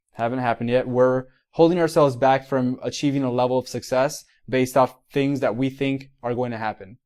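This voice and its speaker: A man with a Miami accent talks at a fairly quick pace in a medium pitch. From Miami, Florida. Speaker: physical therapist and mentor. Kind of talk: motivational livestream talk. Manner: animated; halting, many repetitions.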